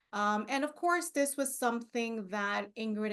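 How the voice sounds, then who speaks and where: A woman talks with a non-native accent. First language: not English. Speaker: librarian. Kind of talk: conference presentation. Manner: halting.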